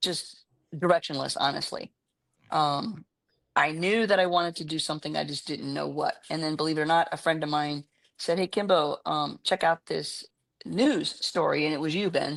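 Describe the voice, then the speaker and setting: A woman with an American accent speaks at a moderate pace against a quiet background, the sound dry and close with no echo. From New York City area. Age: 60s. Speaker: educator and community leader. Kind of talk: testimony. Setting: podcast interview. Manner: halting.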